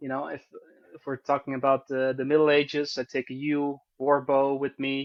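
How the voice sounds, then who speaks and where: A man with a Dutch accent, fairly high in pitch, at a moderate pace. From Netherlands, Arnhem. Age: 30s. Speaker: bowyer and history teacher. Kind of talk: casual interview. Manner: halting, with repetitions and fillers.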